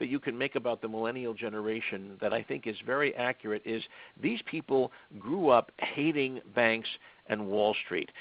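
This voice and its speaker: A man's fairly quick, medium-pitched speech with ordinary pitch variation. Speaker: lawyer and crowdfunding author. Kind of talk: webinar presentation. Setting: webinar. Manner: fast.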